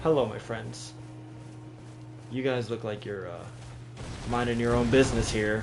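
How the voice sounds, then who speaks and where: A man's medium-pitched voice at a moderate pace, with long, frequent pauses, fairly even intonation, big swings in loudness, audible room echo and noticeable background noise. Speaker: gaming streamer. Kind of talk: live game stream commentary. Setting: live stream. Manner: casual, thinking aloud.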